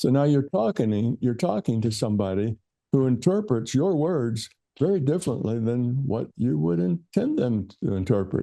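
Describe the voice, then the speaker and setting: Using a dark, mellow tone, a man at medium pitch speaks at a moderate pace with very wide pitch swings. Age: 70s. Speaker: physicist and author. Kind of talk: podcast interview. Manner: halting, with repetitions and fillers.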